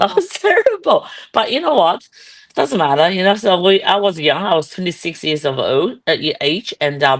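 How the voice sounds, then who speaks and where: A woman in a Chinese accent, moderate pace and lively intonation. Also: medium pitch for a woman. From China, Guizhou province. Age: 60s. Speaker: real estate entrepreneur. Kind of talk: interview. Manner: halting.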